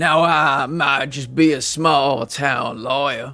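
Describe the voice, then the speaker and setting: Faint music plays behind a man doing a raspy, put-on character voice in a Southern US accent, his pitch fairly high and his pace very slow. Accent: Southern American. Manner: folksy, drawling, blustery.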